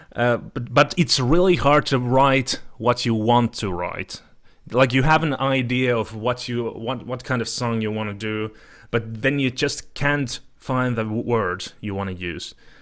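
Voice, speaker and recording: At a fairly slow pace, a man with a Finnish accent speaks at medium pitch with ordinary pitch variation, on a very clean recording with a silent background. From Finland. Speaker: podcast host. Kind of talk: casual chat. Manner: halting.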